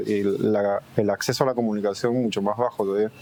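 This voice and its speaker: A man talks with noticeable background noise behind him. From Peru, Lima (Surquillo). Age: 30s. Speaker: graffiti artist. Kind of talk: interview. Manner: hesitant, repeating words.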